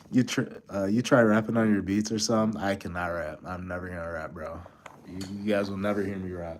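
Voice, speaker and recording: This man speaks at a very fast pace. His voice is fairly low-pitched with fairly even intonation. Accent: American. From Buffalo, New York. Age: 30s. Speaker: beat producer, streamer. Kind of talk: casual live-stream chat. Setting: hotel room. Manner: casual, halting.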